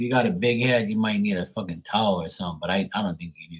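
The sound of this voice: A fast-paced man with a fairly low pitch, a slightly husky edge and ordinary pitch variation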